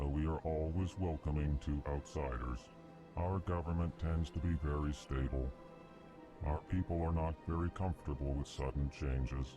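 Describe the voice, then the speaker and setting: Clear music runs in the background as a man speaks in a put-on character voice at a moderate pace. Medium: machinima. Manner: flat, states emotion before each sentence.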